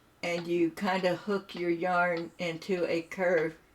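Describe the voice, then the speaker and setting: This woman has a fairly low voice. She speaks with an American accent. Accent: Appalachian-tinged US Midland. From Southern Ohio, US. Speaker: gaming streamer. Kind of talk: casual chat. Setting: live stream. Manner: animated.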